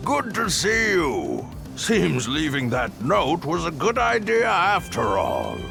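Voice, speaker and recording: A man's put-on character voice at a fairly slow pace, with loud music in the background. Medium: machinima. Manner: warm, gently teasing.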